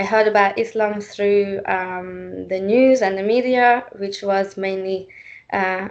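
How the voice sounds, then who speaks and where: Speaking in a Hungarian accent, a woman keeps a fairly slow pace and a medium pitch. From Hungary. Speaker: panel speaker. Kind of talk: panel talk. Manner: halting, many fillers.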